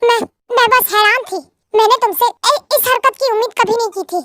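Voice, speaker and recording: Putting on an extremely high, squeaky character voice, a woman talks at a fairly quick pace in a dry, close sound with no echo. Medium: read story. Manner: sharp, commanding.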